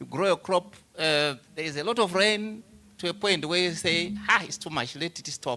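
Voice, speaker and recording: At a moderate pace, a man speaks in a bright, sharp tone on a very clean recording with a silent background. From Zimbabwe. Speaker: agricultural researcher. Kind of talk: panel discussion.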